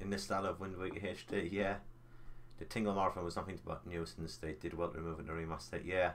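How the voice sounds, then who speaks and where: Talking very fast, a man with a very deep, low pitch keeps his intonation fairly even. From North East England, County Durham. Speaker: gaming live streamer. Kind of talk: casual live-stream chat while gaming. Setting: live stream.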